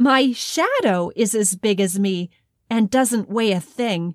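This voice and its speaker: A woman's fairly high voice at a very slow pace, in a dry, close sound with no echo. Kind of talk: bedtime story narration, scripted and read aloud with character voices.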